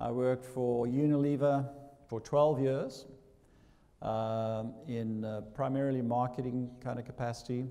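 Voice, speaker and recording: This man speaks at medium pitch with a South African accent, fairly even intonation and a moderate pace. His tone is dark and mellow, and the room echo is audible. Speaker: business school dean. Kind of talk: welcome speech. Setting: stage with audience. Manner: hesitant, many fillers.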